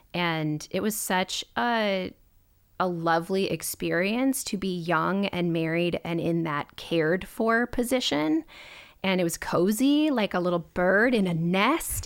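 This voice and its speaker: A normal speaking voice with an American accent, lively intonation and a fairly slow pace, in a very clean recording with a silent background. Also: woman, medium pitch for a woman. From Minnesota. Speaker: pastor's wife in church ministry. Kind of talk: casual chat.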